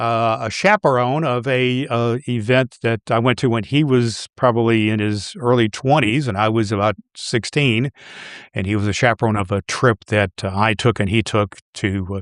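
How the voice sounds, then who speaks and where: Moderate pace and ordinary pitch variation, with a dry, close sound and no echo. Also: man, medium pitch for a man, quiet background. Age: 60s. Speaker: podcast host and pastor. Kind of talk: casual chat. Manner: halting, many fillers.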